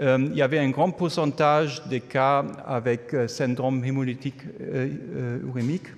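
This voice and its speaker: With a German accent, the speaker keeps a moderate pace and fairly even intonation. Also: man. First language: German (speaking French). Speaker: epidemiology professor. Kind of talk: conference talk. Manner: hesitant, non-fluent French.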